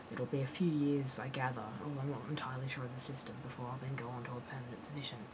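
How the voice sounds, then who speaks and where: A woman with an Australian accent and a very deep, low pitch talks very fast in a monotone, flat delivery with hardly any pauses, with audible room echo. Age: 20s. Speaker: graduate student vlogger. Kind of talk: personal vlog monologue. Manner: hesitant, many fillers.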